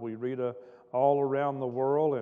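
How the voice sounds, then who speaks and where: A man talks at a moderate pace. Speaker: pastor. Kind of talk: sermon. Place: church. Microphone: podium.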